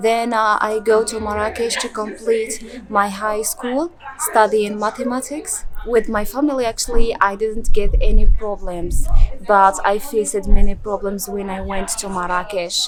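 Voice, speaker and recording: Over noticeable background noise, a woman with a fairly high pitch speaks at a moderate pace with ordinary pitch variation and big swings in loudness. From rural Morocco. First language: Berber. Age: 20s. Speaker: former student of an NGO. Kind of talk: interview. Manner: halting, many fillers and repetitions.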